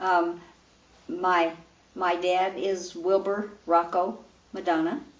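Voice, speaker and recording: Woman at a medium pitch, very slow pace and fairly even intonation, with noticeable background noise. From Louisville, Colorado, US. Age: 60s. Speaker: retired PE teacher. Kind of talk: oral history interview. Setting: her home.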